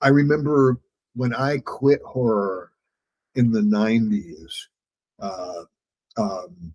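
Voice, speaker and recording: Speaking very slowly with long, frequent pauses, a man uses lively intonation at a medium pitch, recorded dry and close with no echo. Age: 60s. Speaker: horror author and podcast host. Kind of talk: casual chat. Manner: halting, many fillers and repeats.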